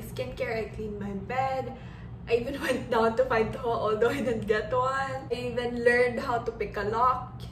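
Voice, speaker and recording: Noticeable background noise sits behind a woman speaking. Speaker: vlogger. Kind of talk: casual vlog chat. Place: home room. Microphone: phone near.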